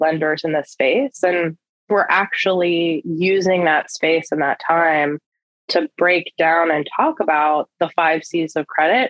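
A woman with an American accent has an ordinary speaking voice, fairly low in pitch, with fairly even intonation at a fairly slow pace. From rural US. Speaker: lending executive at a social finance firm. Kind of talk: interview.

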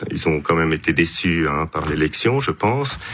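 A man's lively intonation at a fairly slow pace, set against noticeable background noise. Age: 50s. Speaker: politician and physician. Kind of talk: radio interview.

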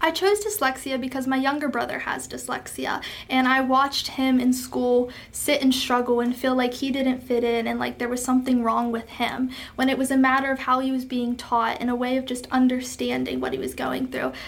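Speaking at a fairly quick pace, a woman with a high pitch is heard over noticeable background noise. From western Pennsylvania. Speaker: pageant titleholder and college student. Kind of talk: interview.

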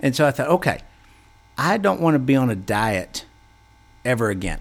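A man of medium pitch talks at a moderate pace with lively intonation, recorded very cleanly against a silent background. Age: 40s. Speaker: wellness podcast host. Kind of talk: solo podcast talk. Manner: halting, many fillers and repeats.

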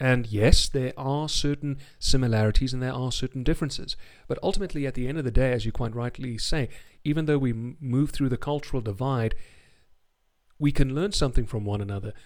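A man with a Home Counties accent talks at a very fast pace and medium pitch. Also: ordinary pitch variation. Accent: RP-like home counties English. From South Africa. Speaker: radio DJ. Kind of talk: casual interview chat. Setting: video call. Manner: articulate, formal vocabulary.

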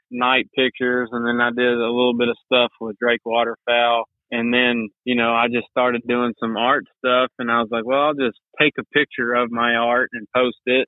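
Monotone, flat delivery at a moderate pace in an East Texas accent. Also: man, medium pitch for a man. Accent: East Texas Southern US. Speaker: outdoor graphic designer. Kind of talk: casual interview chat.

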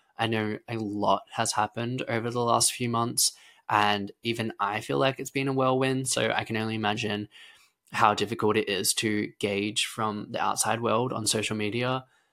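Bright, sharp tone from a man with an Australian accent, medium pitch, monotone and flat intonation, moderate pace. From Australia, rural Victoria. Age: 20s. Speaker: gymnast and podcast host. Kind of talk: casual solo podcast monologue.

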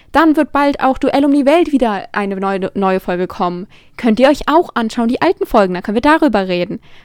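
A woman talks at a fairly quick pace with a high pitch and very wide pitch swings. The sound is dry and close, with no echo. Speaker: podcast host. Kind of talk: solo monologue. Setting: alone in her room. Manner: affected-sounding.

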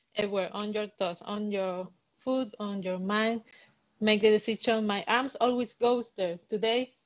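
In a Spanish accent, a woman talks at a moderate pace and a fairly high pitch. Her intonation stays fairly even. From Cuba. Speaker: dancer. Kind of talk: interview. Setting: live Instagram stream. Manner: halting.

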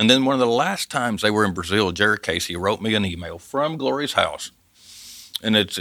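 Speaking at a fairly quick pace, a man with a Southern US accent has a bright, sharp tone and lively intonation. The recording is very clean, with a silent background. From US South, Arkansas Ozarks. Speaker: missionary, former forestry worker. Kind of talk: testimony. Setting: studio.

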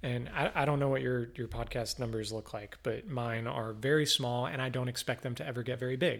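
In a very clean recording with a silent background, a man with a normal speaking voice talks at a fairly quick pace and medium pitch, with fairly even intonation and hardly any pauses. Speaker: podcast host, local politics. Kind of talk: casual interview conversation. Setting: home studio.

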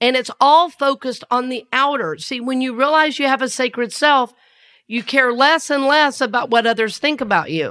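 With a Southern US accent, the speaker has a tone that is both warm and bright and sharp, ordinary pitch variation and a moderate pace, recorded very cleanly against a silent background. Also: woman, high pitch for a woman. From US South. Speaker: minister and podcast host. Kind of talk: spiritual talk podcast. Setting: studio. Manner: warm, conversational, laughs often.

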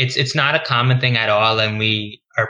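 With an American accent, a man talks at a fairly quick pace in a bright, sharp tone and monotone, flat intonation. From New York, Queens. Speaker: internal medicine resident physician. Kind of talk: interview. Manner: casual, filler-heavy.

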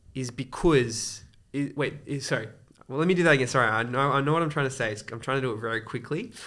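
With an Australian accent, a man talks at a very fast pace in a bright, sharp tone. His pitch is medium, with ordinary variation. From Sydney, Australia. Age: 20s. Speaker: wedding photographer and church volunteer. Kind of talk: interview conversation.

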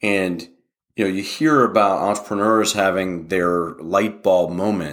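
A man speaks with a very deep, low voice and an American accent. His pace is fairly slow, and his pitch rises and falls in an ordinary way. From West Virginia. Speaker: tech company founder and CEO. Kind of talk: interview.

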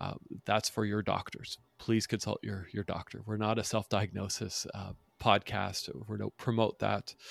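A man with an American accent at a moderate pace, with vocal fry and monotone, flat intonation. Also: fairly low pitch for a man, dry, close sound with no echo. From northern US. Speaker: podcast host. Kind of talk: casual interview.

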